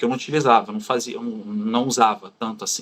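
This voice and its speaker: In a Carioca accent, a man speaks with very wide pitch swings. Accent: carioca accent, clear. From Brazil, Rio de Janeiro. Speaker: former far-right supporter turned critic. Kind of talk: interview.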